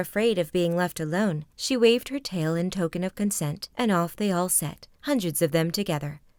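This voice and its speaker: A woman with an unremarkable speaking voice talks at a moderate pace and medium pitch with lively intonation, in a very clean recording with a silent background. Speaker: voice actress. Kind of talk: sleep story.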